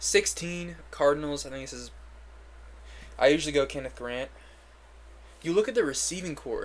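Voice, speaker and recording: Long, frequent pauses break up the man's speech as his loudness swings widely. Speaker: sports commentator, NFL draft analyst. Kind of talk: solo mock draft commentary. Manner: fast; casual, filler-heavy.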